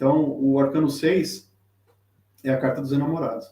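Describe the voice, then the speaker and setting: Dark and mellow in tone, a man's fairly high voice moves at a fairly slow pace. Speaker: tarot reader. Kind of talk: live-stream lecture. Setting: live stream with chat. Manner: halting, many fillers.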